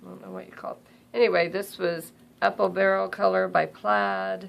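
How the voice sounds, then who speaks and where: The speech is mumbled at a moderate pace. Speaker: crafter. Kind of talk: tutorial. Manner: mumbling; casual, halting.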